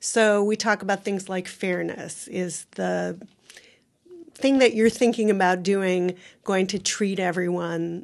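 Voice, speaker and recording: A normal speaking voice from a woman, pitched at a medium level with fairly even intonation. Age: 60s. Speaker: university ethics center operations officer. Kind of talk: interview.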